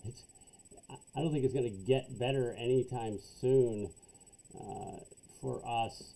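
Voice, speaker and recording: A man with a dark, mellow tone and medium pitch speaks at a fairly slow pace with fairly even intonation, big swings in loudness and long, frequent pauses. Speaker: accounting instructor. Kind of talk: tutorial. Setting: home basement.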